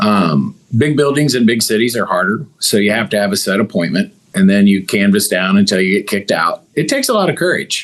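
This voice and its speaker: A man with an American accent and a fairly low voice talks at a fairly quick clip with lively intonation over noticeable background noise. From Missouri. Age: 50s. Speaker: business owner. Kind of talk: interview.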